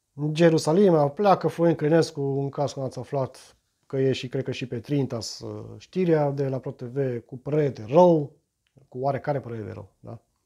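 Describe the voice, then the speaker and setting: Over a quiet background, a man with a dark, mellow tone and fairly high pitch for a man speaks at a moderate pace with ordinary pitch variation. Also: big swings in loudness. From Romania. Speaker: YouTuber; vlogger commenting on the news. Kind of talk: reading aloud and commenting on news. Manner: halting, many repetitions and fillers. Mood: ironic, mocking. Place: home room. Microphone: phone near.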